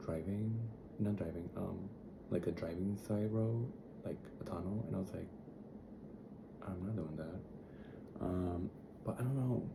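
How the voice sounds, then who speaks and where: A man with a very deep, low voice speaks with long, frequent pauses. Audible room echo and noticeable background noise fill the recording. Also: ordinary pitch variation, fairly slow pace. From Dominican Republic. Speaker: travel vlogger. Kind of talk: casual vlog. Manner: soft, gentle; chatty, rambling with fillers.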